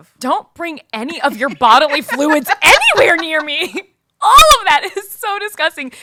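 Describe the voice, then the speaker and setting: In a put-on character voice, a woman sounds excited and squeaky, her pitch extremely high, her loudness swinging widely, and her pace moderate. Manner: overly excited.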